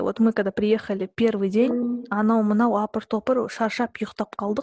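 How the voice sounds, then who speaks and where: A woman with a normal speaking voice talks at a fairly slow pace and fairly high pitch. The sound is dry and close with no echo. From southern Kazakhstan. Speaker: podcast host. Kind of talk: casual chat.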